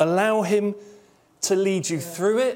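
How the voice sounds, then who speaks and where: Speaking at a fairly slow pace, a man uses a high, animated voice with ordinary pitch variation. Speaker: pastor. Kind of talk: sermon. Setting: church.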